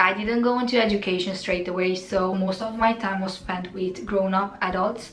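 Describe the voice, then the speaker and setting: In a Romanian accent with ordinary pitch variation, the voice carries audible room echo while music plays in the background. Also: woman. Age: 20s. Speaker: fitness content creator. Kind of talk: casual Q&A monologue.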